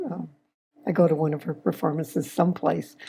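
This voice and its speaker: A woman's very deep, low voice, dark and mellow in tone, with vocal fry and a moderate pace. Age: 80s+. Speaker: retiree. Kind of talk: casual chat.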